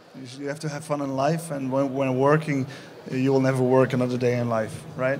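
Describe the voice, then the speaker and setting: A man at a medium pitch speaks at a fairly quick pace with monotone, flat intonation and big swings in loudness, against noticeable background noise and audible room echo. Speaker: festival Q&A moderator. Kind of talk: live Q&A interview. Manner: halting, stumbling.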